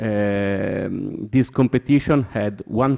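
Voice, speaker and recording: A man's voice with ordinary pitch variation, dry and close with no echo, over a quiet background. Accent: Italian. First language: Italian. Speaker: architect on a seminar panel. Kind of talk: panel discussion. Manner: halting, many hesitations.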